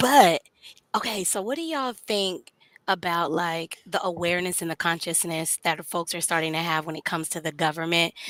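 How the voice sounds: A woman's raspy, put-on character voice at a fairly low pitch and moderate pace, in a very clean recording with a silent background.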